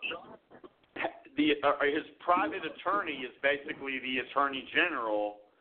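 A man with a passionate tone, fairly high pitch and ordinary pitch variation, at a moderate pace. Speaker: radio host. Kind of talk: talk radio show on politics.

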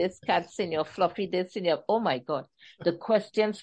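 A text read aloud in a natural voice, the pitch rising and falling in an ordinary way

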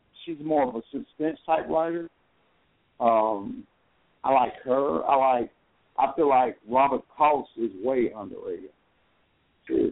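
With an American accent, a man talks at a fairly slow pace. He leaves long, frequent pauses. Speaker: author. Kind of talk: interview. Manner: halting.

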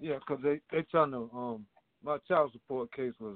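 A man speaks in a normal speaking voice with ordinary pitch variation at a moderate pace. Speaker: caller. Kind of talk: casual phone conversation. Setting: phone call.

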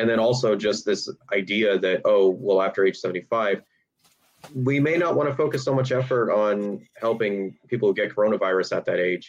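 At a moderate pace, a man talks in an ordinary speaking voice of medium pitch, with ordinary pitch variation and very even loudness. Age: 20s. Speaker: podcast co-host. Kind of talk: casual discussion of bioethics.

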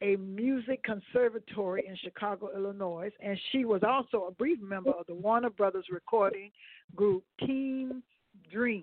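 In an ordinary speaking voice, a woman talks at a fairly high pitch with ordinary pitch variation and a moderate pace. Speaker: radio host. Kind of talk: casual chat.

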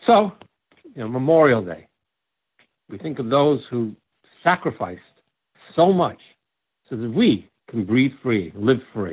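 Speaking with a New York accent, a man at a medium pitch moves at a fairly slow pace with long, frequent pauses, very wide pitch swings and big swings in loudness. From New York, Brooklyn. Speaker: deacon. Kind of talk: interview; sermon. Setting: radio show.

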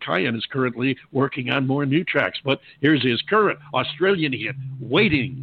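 A man with a plain, everyday voice, medium in pitch, speaks at a moderate pace with lively intonation. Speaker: radio show host. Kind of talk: radio interview. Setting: phone call interview.

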